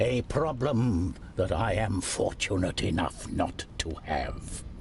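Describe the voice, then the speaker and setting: A man does a put-on character voice at a fairly low pitch. He goes at a fairly slow pace over clear background noise. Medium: read story. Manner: measured, weary, shrewd.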